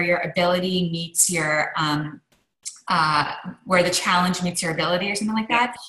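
Against a quiet background with audible room echo, a woman speaks at a fairly quick pace in a fairly low pitch with ordinary pitch variation. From Canada, Montreal. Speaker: author and lecturer; lecturer. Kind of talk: interview conversation. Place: home room. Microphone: video call.

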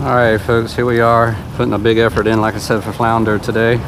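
At a very fast pace, a man speaks in dry sound with no echo over noticeable background noise. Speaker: fishing vlogger. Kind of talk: casual vlog chat. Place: boat. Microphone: camera far.

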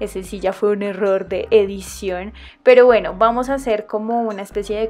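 Music plays behind a woman with a Colombian accent as she talks at a moderate pace in a fairly high voice with ordinary pitch variation. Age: 20s. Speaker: nail art youtuber. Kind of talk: casual tutorial voice-over.

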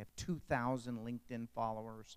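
Here a man speaks in an ordinary speaking voice. His pitch is medium and his pace moderate. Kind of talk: panel discussion. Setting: stage with audience.

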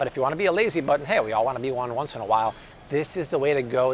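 A man talks at a fast pace with faint background noise.

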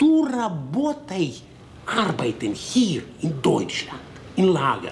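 A man puts on a character voice with a Russian accent, pitched fairly high and paced slowly. His pitch swings very widely, with vocal fry throughout.

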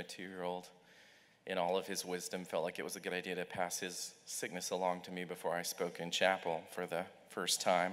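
At a very fast pace, a man talks with a very deep, low pitch and monotone, flat intonation. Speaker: speaker. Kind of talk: chapel talk. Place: hall. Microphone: podium.

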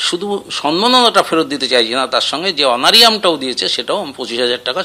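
Man's voice with very wide pitch swings. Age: old. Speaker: school headmaster. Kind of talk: news interview. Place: home room. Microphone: handheld.

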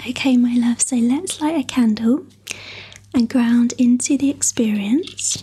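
Soft-spoken and with a gentle tone, a woman speaks at a fairly slow pace in a high pitch with ordinary pitch variation. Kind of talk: guided meditation session. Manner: soft, gentle ASMR speaking voice. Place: home room.

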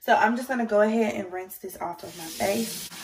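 An unremarkable speaking voice at a moderate pace. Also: woman. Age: 20s. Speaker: beauty YouTuber. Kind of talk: casual skincare tutorial to camera. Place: home room. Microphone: phone near.

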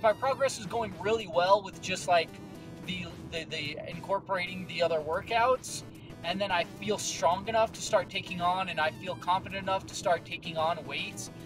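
A man at a moderate pace with ordinary pitch variation, dry sound with no echo, and clear music in the background. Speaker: fitness vlogger. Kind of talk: casual vlog chat. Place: car. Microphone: phone near.

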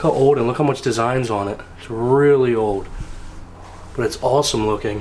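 A man talks at a moderate pace with a medium pitch and ordinary pitch variation. His tone is slightly mellow, and there is faint background noise.

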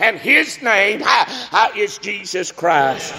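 With a Southern US accent, a man talks at a very slow pace. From US South. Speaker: preacher. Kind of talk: sermon. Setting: church. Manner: animated; fervent. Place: church.

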